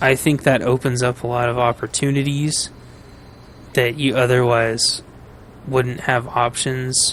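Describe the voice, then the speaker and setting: In a monotone, flat delivery with very even loudness, a man speaks with long, frequent pauses. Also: medium pitch for a man. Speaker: gaming streamer. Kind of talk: casual gameplay commentary. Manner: rambling, hesitant with fillers.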